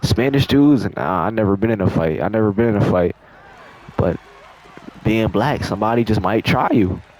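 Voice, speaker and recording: Fairly quick pace broken by long, frequent pauses, with very even loudness, ordinary pitch variation and noticeable background noise. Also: man, fairly low pitch for a man. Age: 20s. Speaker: storytime youtuber. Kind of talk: storytime over gameplay. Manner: casual, slangy.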